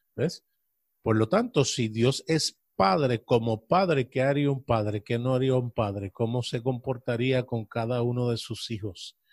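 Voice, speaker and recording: A man talks at a fairly slow pace in a medium pitch with ordinary pitch variation. The sound is dry and close, with no echo. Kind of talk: casual religious discussion.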